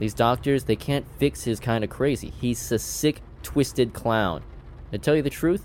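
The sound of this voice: The reading voice is unforced. Its pitch variation is ordinary.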